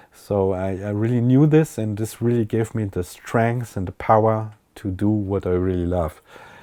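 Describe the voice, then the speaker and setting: A man with a German accent speaks at a moderate pace with hardly any pauses. His fairly low voice has a dark, mellow tone and ordinary pitch variation. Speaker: techno DJ and producer. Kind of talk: interview. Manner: halting.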